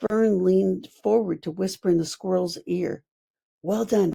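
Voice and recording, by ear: Ordinary pitch variation and a quiet background while reading aloud in a natural voice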